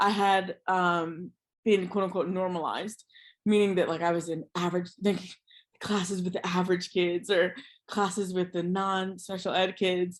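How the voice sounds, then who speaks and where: The woman's voice sits at a medium pitch, flat and monotone. She speaks at a moderate pace. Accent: American. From USA. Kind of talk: interview conversation.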